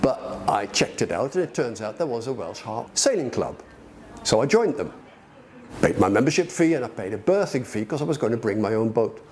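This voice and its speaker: A fairly quick delivery with very wide pitch swings, set against noticeable background noise. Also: man, medium pitch for a man. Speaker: club sailor. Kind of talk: documentary interview. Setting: outdoors. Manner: halting.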